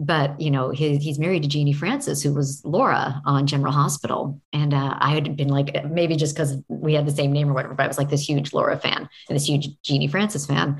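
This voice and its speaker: A woman's very deep, low, somewhat breathy voice with an American accent, monotone, flat intonation and very even loudness. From Oregon. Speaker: voice actress. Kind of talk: interview.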